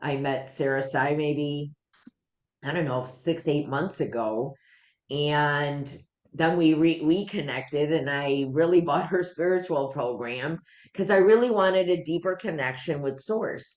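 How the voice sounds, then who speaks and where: At a fairly slow pace, a woman speaks with a very deep, low pitch and ordinary pitch variation. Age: 60s. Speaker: stress management coach and energy healer. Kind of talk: interview.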